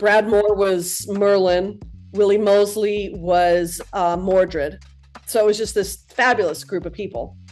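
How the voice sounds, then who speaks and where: Music plays in the background as a woman speaks at a medium pitch. Her pace is fairly slow and her intonation fairly even. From Aspen, Colorado. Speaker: theater props maker. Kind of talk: podcast interview answer. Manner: casual, hesitant.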